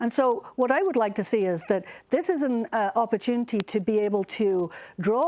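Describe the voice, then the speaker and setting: Lively intonation marks a woman's fairly high-pitched voice with a dark, mellow tone, at a moderate pace on a very clean recording with a silent background. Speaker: astronomy professor. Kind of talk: press briefing panel answer.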